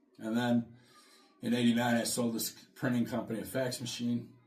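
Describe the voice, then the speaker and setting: A man talks fairly quickly in a room with audible echo. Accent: American. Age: 60s. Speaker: podcast co-host, salesman. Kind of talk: casual chat.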